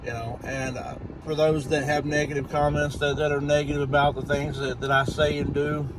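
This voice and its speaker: Noticeable background noise and audible room echo surround a man. He talks at a fairly quick pace, with a fairly high pitch and monotone, flat intonation. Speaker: YouTuber. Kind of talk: casual vlog update. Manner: stuttering, halting; rambling.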